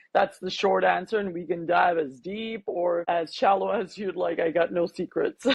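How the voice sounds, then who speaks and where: This woman's voice sits fairly low in pitch. Vocal fry runs through her speech. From Canada, Toronto. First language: Armenian. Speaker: life coach. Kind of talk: interview.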